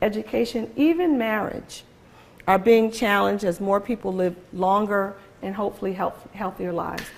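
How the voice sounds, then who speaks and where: A woman at medium pitch with a Philadelphia accent, moderate pace and ordinary pitch variation. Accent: Philadelphia American English. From US, Philadelphia. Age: 60s. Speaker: guest lecturer, advocacy organization executive. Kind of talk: lecture. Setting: lecture hall with audience and microphone.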